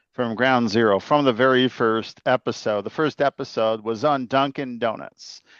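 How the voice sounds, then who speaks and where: A man speaks at medium pitch and a moderate pace. The sound is dry and close with no echo, over a quiet background. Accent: Illinois. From Chicago, Illinois. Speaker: podcast host. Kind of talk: casual chat. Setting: video call.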